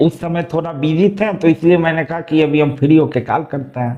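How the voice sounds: A man's fairly high-pitched voice with a slightly mellow tone. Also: ordinary pitch variation, fairly quick pace.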